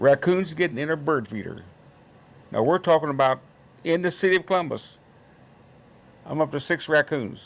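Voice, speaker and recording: A man with an Indiana accent, fairly high in pitch, with long, frequent pauses. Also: ordinary pitch variation, moderate pace. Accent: Midwestern US (Indiana). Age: 80s+. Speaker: trapper and conservationist. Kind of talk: casual chat.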